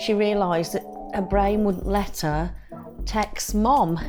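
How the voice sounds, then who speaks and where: Over music in the background, the words come at a very slow pace. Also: woman. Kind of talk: interview answer.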